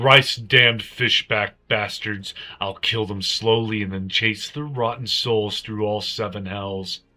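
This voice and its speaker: Using a put-on character voice, a man speaks husky and fairly low in pitch, at a fairly slow pace with fairly even intonation. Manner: furious, threatening.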